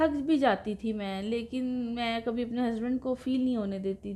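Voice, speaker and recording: At a fairly slow pace, the voice has a dark, mellow tone and fairly even intonation. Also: woman. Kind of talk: interview answer. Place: home room. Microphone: lapel.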